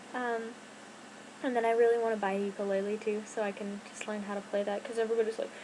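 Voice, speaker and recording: There is noticeable background noise behind this woman. She speaks at a very fast pace in a fairly high pitch. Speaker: YouTuber. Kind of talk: casual chat. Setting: home bedroom. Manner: rambling, hesitant with fillers.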